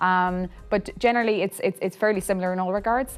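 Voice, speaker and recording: With music in the background, a woman with an Irish accent and a fairly low pitch talks at a fairly quick pace with fairly even intonation. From Ireland, County Mayo (west coast). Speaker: Gaelic football club founder. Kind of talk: interview. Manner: hesitant, many fillers.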